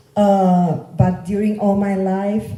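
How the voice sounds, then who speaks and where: With a dark, mellow tone and a somewhat breathy sound, a woman speaks very slowly amid audible room echo. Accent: Catalan Spanish. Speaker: local politician. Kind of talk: political campaign speech. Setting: meeting room with audience. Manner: halting, with fillers.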